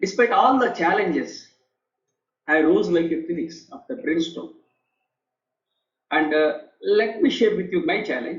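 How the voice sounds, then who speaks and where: Speaking in a Telugu accent, a man uses a high pitch and lively intonation at a fairly slow pace. There are long, frequent pauses, and audible room echo is present. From India. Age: 50s. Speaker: author and leadership professor, air force veteran. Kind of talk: interview testimony. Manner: halting, many repetitions and fillers.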